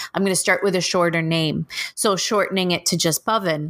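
A woman speaks with a Canadian accent at a fairly low pitch. Her intonation stays fairly even. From Toronto, Canada. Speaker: elementary school teacher and podcaster. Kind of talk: interview. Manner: hesitant, many fillers.

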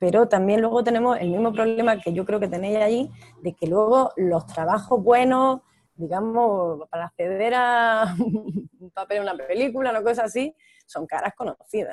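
A woman with an unremarkable speaking voice talks at a moderate pace in a fairly high pitch with ordinary pitch variation, the sound dry and close with no echo. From Almería, Spain. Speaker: actress. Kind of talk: interview.

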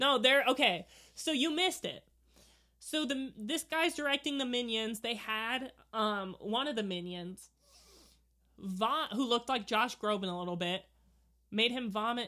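On a very clean recording with a silent background, a woman with a high, bright, sharp voice speaks loud and slow-ish, with lively intonation and long, frequent pauses. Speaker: podcast co-host. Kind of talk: casual chat. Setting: watching a movie together.

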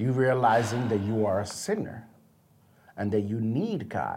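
A somewhat breathy man at a fairly slow pace, with audible room echo. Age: 30s. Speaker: podcast host, Bible teacher. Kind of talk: casual chat.

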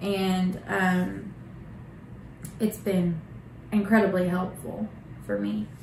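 The speech is very slow, with long, frequent pauses and fairly even intonation. Audible room echo and noticeable background noise fill the recording. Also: woman, medium pitch for a woman. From Oklahoma, Bartlesville. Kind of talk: casual interview.

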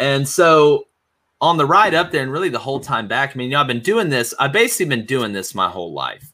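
A man with an Alabama accent talks at a fairly quick pace. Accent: Southern US (Alabama). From Alabama, US South. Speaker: sports podcast host, former coach. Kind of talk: casual interview chat.

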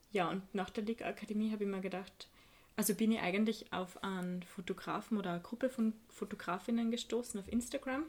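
A woman talks in a normal speaking voice at a moderate pace, her medium pitch varying in an ordinary way. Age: 20s. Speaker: photo editor and photographer. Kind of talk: casual chat.

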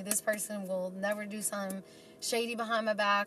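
A woman with an American accent speaks at a medium pitch and a fairly quick pace. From New York City. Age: 20s. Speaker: materials engineer. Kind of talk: casual chat.

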